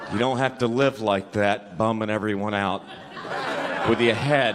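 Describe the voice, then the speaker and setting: A man takes his words fairly slowly. Noticeable noise can be heard around him. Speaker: stand-up comedian. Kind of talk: stand-up. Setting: stage with audience.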